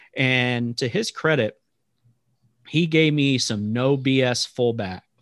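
A man with a normal speaking voice talks at medium pitch with ordinary pitch variation, in a dry, close sound with no echo. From Texas. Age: 30s. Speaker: sports announcer. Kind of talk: interview podcast.

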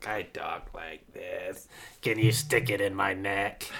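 Using a put-on character voice, a man sounds raspy at a medium pitch and a fairly slow pace. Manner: crude, gruff, mocking.

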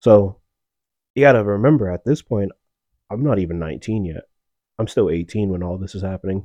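Man with an American accent, fairly low in pitch with ordinary pitch variation, dark and mellow in tone, fairly quick but with long, frequent pauses and big swings in loudness, in a dry, close sound with no echo and a quiet background. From Massachusetts. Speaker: Marine Corps veteran, podcast co-host. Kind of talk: casual interview, personal storytelling.

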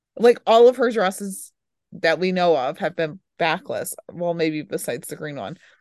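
A woman with an unremarkable speaking voice, fairly low in pitch, with lively intonation, big swings in loudness and a moderate pace, recorded dry and close with no echo over a quiet background. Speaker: podcast host. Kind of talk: casual chat.

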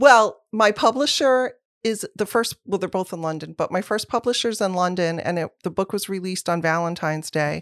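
At a moderate pace and with hardly any pauses, a woman talks at a medium pitch with ordinary pitch variation, in a very clean recording with a silent background and a dry, close sound with no echo. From US Midwest, moved around as a child. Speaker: magazine editor-in-chief. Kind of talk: casual interview chat. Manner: animated.

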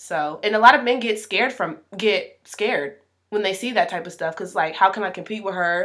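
A woman's medium-pitched voice with ordinary pitch variation, at a moderate pace. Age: 20s. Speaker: podcast co-host. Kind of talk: casual chat.

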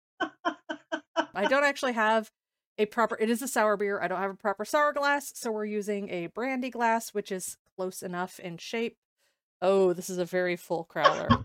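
A woman's fairly high voice in an animated tone, at a moderate pace, with a dry, close sound and no echo. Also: lively intonation, very clean recording, silent background. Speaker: podcast host, fantasy writer. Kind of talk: casual chat. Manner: animated, laughs often.

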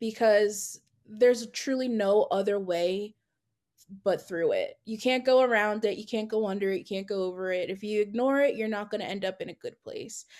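Against a quiet background, someone with an American accent speaks at a moderate pace with ordinary pitch variation. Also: woman. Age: 20s. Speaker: graphic designer. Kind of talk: casual interview. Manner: calm.

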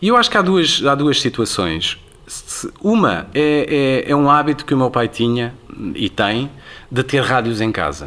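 Using lively intonation, a man with a bright, sharp, medium-pitched voice talks at a fairly slow pace with long, frequent pauses. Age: 50s. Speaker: radio presenter. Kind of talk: interview conversation.

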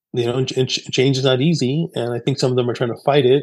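The delivery is monotone and flat, at a fairly quick pace, with an American accent. The background is quiet. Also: man. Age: 50s. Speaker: company CEO and author. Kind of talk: interview. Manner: conversational with many fillers.

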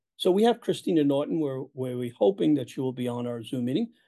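Fairly high in pitch, a man talks at a very fast pace with lively intonation. His tone is dark and mellow. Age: 80s+. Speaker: local party official and activist. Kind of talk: political interview.

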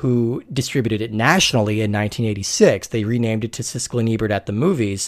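Very fast speech from a man with an American accent, medium in pitch, on a very clean recording with a silent background. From Colorado, US. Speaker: podcast host, film discussion. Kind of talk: scripted narration; casual chat.

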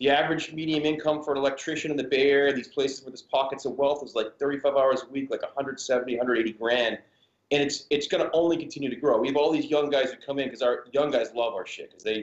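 A man speaks very fast with an American accent. His pitch is fairly high. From Massachusetts. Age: 40s. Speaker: clothing company co-founder. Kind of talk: casual chat. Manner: animated.

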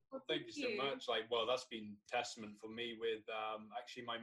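A plain, everyday voice from a man, fairly quick in pace and with ordinary pitch variation. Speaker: podcast host. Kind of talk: podcast interview.

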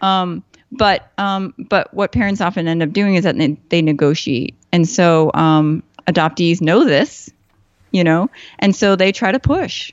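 An unremarkable speaking voice from a woman with an American accent, fairly low in pitch with ordinary pitch variation, at a fairly slow pace and very even loudness. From US Midwest, Chicago. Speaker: psychotherapist. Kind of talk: casual interview conversation.

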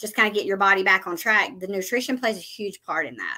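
Using an ordinary speaking voice, a woman talks at a fairly quick pace and a medium pitch, with ordinary pitch variation. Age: 40s. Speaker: nurse practitioner. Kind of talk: interview.

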